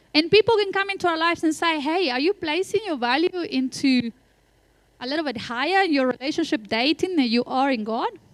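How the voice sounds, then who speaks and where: The speaker has a non-native accent. The intonation is lively. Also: woman, high pitch for a woman. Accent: noticeable foreign. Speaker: pastor. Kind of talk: sermon. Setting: church.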